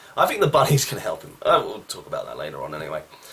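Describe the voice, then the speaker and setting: A man is heard over noticeable background noise. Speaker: wrestling show reviewer. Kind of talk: casual review monologue. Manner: casual, with fillers.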